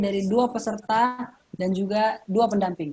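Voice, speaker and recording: This woman's voice is fairly high in pitch and holds a fairly even intonation. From South Sulawesi (Bugis parents, born in Bontang, East Kalimantan). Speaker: Quran recitation competitor, student. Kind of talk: online event interview.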